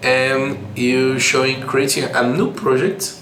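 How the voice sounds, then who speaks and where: In a Portuguese accent, a man speaks at a fairly slow pace and medium pitch, with noticeable background noise and audible room echo. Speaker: programming teacher. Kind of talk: tutorial. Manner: halting.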